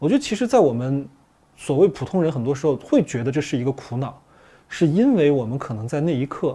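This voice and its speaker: Lively intonation from a man with a fairly high, somewhat breathy voice and a dark, mellow tone. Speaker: psychological counselor. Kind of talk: panel discussion on a film.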